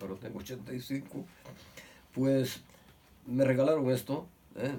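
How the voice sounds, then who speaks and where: Medium pitch from a man at a fairly slow pace, with noticeable background noise. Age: 80s+. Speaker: son of a victim of Franco-era repression. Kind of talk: testimony. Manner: halting.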